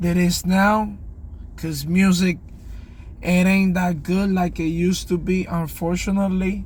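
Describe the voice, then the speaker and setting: A man with a non-native accent speaks at a very slow pace, and the room echo is audible. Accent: non-native English, self-described. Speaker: music reaction youtuber. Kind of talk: casual video reaction commentary. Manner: casual, hesitant with fillers.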